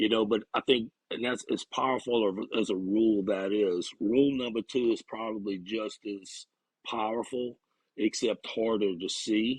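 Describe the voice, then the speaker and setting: In a Louisiana accent, a man speaks at a moderate pace. His medium pitch carries fairly even intonation. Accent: Bayou. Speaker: recovery counselor. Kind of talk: casual interview.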